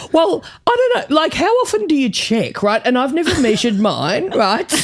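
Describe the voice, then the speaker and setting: A woman with an Australian accent, high in pitch, very wide pitch swings, very even loudness, a moderate pace, noticeable background noise. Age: 50s. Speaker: comedian. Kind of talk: casual podcast chat. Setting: studio. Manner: animated.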